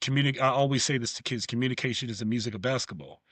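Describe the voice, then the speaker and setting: Here a man speaks with a New York accent. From New York (Bronx). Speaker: former pro basketball player and coach. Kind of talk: podcast interview.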